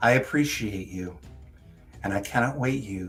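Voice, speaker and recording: A man uses a booming, put-on character voice. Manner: grand, welcoming.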